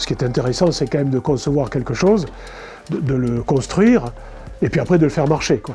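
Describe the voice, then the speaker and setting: Amid noticeable background noise, a man with a fairly high pitch speaks with long, frequent pauses. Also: ordinary pitch variation, fairly quick pace. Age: 60s. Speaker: model train hobbyist. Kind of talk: interview. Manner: halting.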